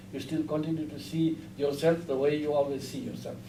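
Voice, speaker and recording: This man's voice is somewhat breathy and dark, mellow in tone, sitting at a fairly high pitch. He speaks at a fairly slow pace, with audible room echo around him. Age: 60s. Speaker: Buddhist teacher. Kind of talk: lecture. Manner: halting.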